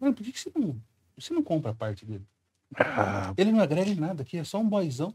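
Very fast and high-pitched, a man talks with very wide pitch swings. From Brazil. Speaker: comedian. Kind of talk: casual chat. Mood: joking, provocative, teasing hosts. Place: studio. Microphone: studio mic.

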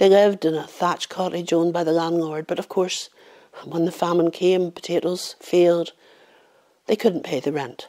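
A woman with a Northern Irish accent speaks with a fairly low pitch and a dark, mellow tone. Her intonation is fairly even, and the background is quiet. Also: moderate pace. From Northern Ireland. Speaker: professional storyteller. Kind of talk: oral folk-tale storytelling, a haunting famine ghost story told to camera. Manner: measured, hushed storyteller's cadence building suspense; voices characters in dialogue, shifting into villagers' warnings. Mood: calm, somber story. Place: home room.

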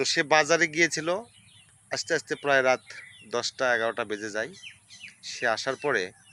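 A man talks at a medium pitch, his voice showing ordinary pitch variation. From Bangladesh, Bogura (Shibganj). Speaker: local news video creator. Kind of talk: news commentary monologue. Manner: animated.

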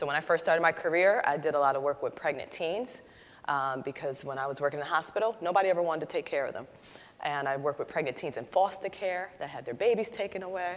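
The speech races at a very fast pace with lively intonation. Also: woman, fairly low pitch for a woman. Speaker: panelist. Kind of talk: panel discussion answer. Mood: earnest, reflective. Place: hall. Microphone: lapel.

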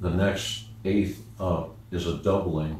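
With audible room echo, a man speaks in a very deep, low pitch. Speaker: music teacher. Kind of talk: lecture. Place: home room.

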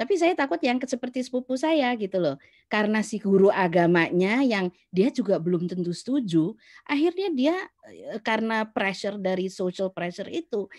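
A woman speaks at a moderate pace with a fairly high pitch and very wide swings in pitch. The sound is dry and close, with no echo. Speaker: book club moderator. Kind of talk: group discussion. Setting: video call.

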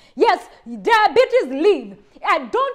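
A woman with a passionate tone over a quiet background. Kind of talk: fervent healing prayer, commanding demons to leave. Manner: forceful, emphatic, commanding; urgent, passionate, rising intensity. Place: home room. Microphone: lapel.

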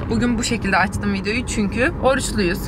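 A woman over noticeable background noise, dry sound with no echo. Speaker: vlogger. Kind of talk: casual vlog chat. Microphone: phone near.

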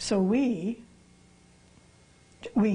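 A somewhat breathy woman's voice with a dark, mellow tone. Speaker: interviewee, pastor's daughter. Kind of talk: interview answer. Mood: calm, reflective. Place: studio.

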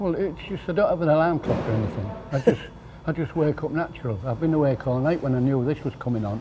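Music plays behind a man talking very fast in a fairly high voice. His intonation is lively. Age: 80s+. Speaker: fish market carting agent. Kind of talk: interview answer.

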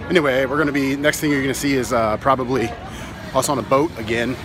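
A man talks at a very fast pace in a dry recording with no echo, with crowd noise behind him. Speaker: fitness vlogger. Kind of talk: casual vlog chat. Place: street. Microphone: phone near.

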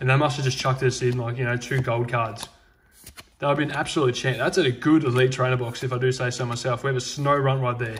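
Against light background noise, a man talks at a very fast pace. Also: medium pitch for a man. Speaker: Pokemon card unboxing YouTuber. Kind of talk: card unboxing commentary. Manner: animated.

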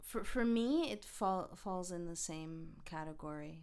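A woman with a Canadian accent uses an ordinary speaking voice, speaking at a fairly slow pace in a fairly low pitch with ordinary pitch variation. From Quebec. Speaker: investigative journalist and documentary director. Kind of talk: interview.

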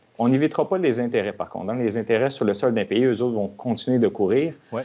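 Pitch variation here is ordinary. The man speaks at a fairly quick pace. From Quebec. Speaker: tax expert; guest. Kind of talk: TV interview explaining finances.

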